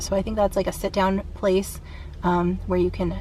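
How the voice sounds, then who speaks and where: In a room with audible echo, a woman talks at a fairly quick pace. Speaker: vlogger. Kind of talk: casual vlog talk to camera. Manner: fast; casual with many fillers.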